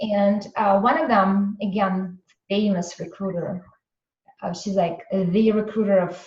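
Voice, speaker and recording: A woman talks with a Russian accent at a fairly slow pace. Her voice sits at a medium pitch. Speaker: entrepreneur and business coach. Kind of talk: interview storytelling.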